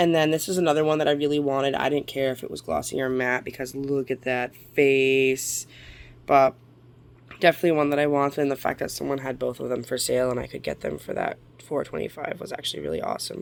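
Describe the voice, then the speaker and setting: Very fast in pace, this woman speaks at a very deep, low pitch with fairly even intonation. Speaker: model horse collector vlogger. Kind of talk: haul video. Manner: casual, hesitant with fillers.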